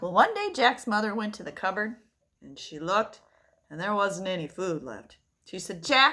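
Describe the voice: Ordinary pitch variation in plain reading aloud, set against a quiet background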